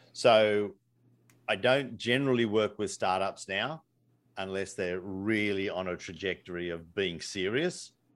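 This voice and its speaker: A man's fairly low voice in an Australian accent, fairly slow, with ordinary pitch variation. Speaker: entrepreneur and business coach. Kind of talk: casual interview.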